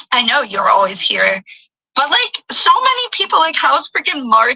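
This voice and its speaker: A woman's voice with a strong American accent in a dry, close sound with no echo. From United States. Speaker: online streamer. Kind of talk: casual chat. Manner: frequent 'like' fillers.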